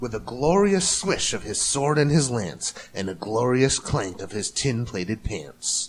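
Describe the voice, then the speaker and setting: At a fairly slow pace, a man with a medium pitch makes very wide pitch swings. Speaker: voice actor. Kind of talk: storybook reading.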